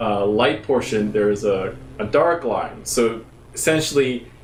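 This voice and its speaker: A man with an American accent talks amid noticeable background noise and audible room echo. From Japan. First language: Japanese. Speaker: bass player giving a music lesson. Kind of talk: live-stream tutorial. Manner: casual, halting with fillers.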